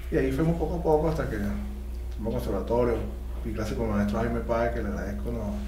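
A man with a very deep, low pitch speaks very fast in monotone, flat intonation, with audible room echo and light background noise. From Venezuela, Valles del Tuy. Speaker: trombonist. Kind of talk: casual interview. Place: studio.

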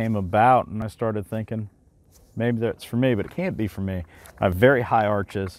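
Speaking at a fairly quick pace, a man with a fairly low pitch and ordinary pitch variation sounds dry, with no echo. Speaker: gear reviewer. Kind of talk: product review talk. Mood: relaxed, conversational. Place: waterside.

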